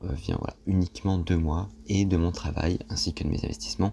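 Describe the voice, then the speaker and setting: A man with a very deep, low pitch and a dark, mellow tone talks at a moderate pace, his pitch swinging very widely. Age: 20s. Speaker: personal finance youtuber. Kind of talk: casual explainer monologue. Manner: hesitant, many fillers.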